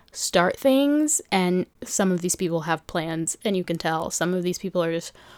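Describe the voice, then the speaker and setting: A woman with a plain, everyday voice speaks at a medium pitch in an American accent, with ordinary pitch variation and a dry, close sound with no echo on a very clean recording with a silent background. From New York City. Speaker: podcast host. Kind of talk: casual monologue. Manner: chatty, rambling delivery.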